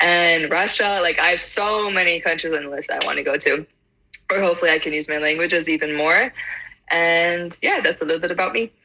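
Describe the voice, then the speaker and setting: A woman with an American accent uses a normal speaking voice. It is fairly low in pitch and fairly quick in pace. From US South (Atlanta, Georgia). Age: 20s. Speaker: polyglot. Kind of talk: casual chat.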